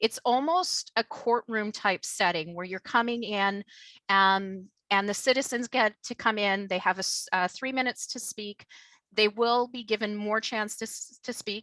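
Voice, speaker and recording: A woman with a Canadian accent and a bright, sharp tone, fairly high in pitch with ordinary pitch variation, at a moderate pace with big swings in loudness, in a dry, close sound with no echo. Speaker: local elected official. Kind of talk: presentation to the public. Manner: halting, many fillers.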